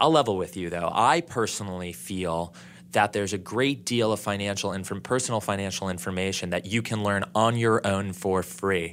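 Over a silent background in a very clean recording, a man with an ordinary speaking voice talks at a moderate pace, his pitch fairly low with ordinary variation. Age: 30s. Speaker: financial advisor. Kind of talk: interview.

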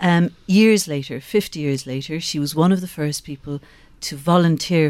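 The speaker has a Cork accent and ordinary pitch variation. The pace is moderate. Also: woman. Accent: Cork Irish. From Ireland, Skibbereen, County Cork. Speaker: former TV reporter, political training head. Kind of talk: radio interview. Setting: radio studio.

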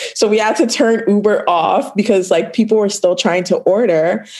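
With a Toronto accent, a woman speaks at a moderate pace over noticeable background noise. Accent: Canadian (Toronto). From Toronto, Canada (Scarborough); born in Ghana, childhood in Virginia. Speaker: food business owner. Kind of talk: casual interview. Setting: call.

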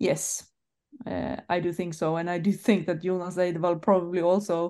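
With a Swedish accent, a woman talks at a fairly slow pace with a fairly low pitch and ordinary pitch variation against a quiet background. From Sweden. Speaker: football journalist and club press manager. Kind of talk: casual chat.

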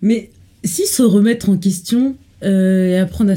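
Her tone dark and mellow and somewhat breathy, a woman speaks with lively intonation. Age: 20s. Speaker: law student. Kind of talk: casual chat.

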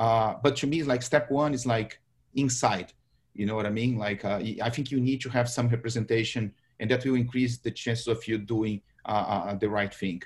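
At a moderate pace, a man with a Brazilian accent speaks in a medium pitch, somewhat breathy, with fairly even intonation. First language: Portuguese. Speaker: marketing executive, panelist. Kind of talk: panel discussion.

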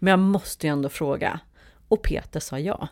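With a plain, everyday voice, a woman speaks at a moderate pace and a fairly low pitch with ordinary pitch variation, in a very clean recording with a silent background. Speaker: musical theatre performer and producer. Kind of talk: casual interview.

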